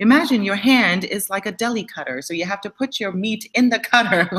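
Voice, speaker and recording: A woman speaks at a fairly quick pace with a bright, sharp tone. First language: not English. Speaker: dance teacher and show co-host. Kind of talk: casual chat.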